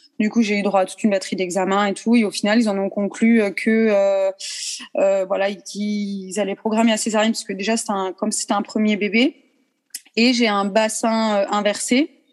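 Here is a woman with a plain, everyday voice at medium pitch. She keeps a moderate pace and fairly even intonation. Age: 30s. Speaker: ballet teacher. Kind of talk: interview.

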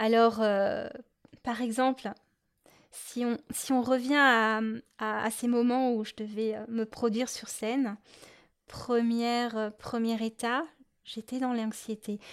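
A woman at a fairly high pitch, monotone and flat, at a very slow pace with long, frequent pauses, on a very clean recording with a silent background. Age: adult. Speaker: podcast host, adult-beginner clarinettist. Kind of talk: solo podcast monologue. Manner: hesitant, many fillers.

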